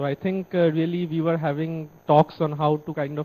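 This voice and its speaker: With a dark, mellow tone and a fairly high pitch, a man speaks at a moderate pace in a monotone, flat delivery. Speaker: remote center coordinator. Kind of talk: formal feedback speech. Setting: video link from remote center. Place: classroom. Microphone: handheld.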